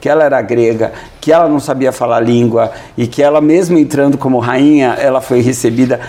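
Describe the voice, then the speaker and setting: A man with a medium pitch and fairly even intonation talks amid noticeable background noise and audible room echo. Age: 50s. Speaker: dentist. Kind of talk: interview. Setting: auditorium at the guest's organization. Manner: halting, repeats words.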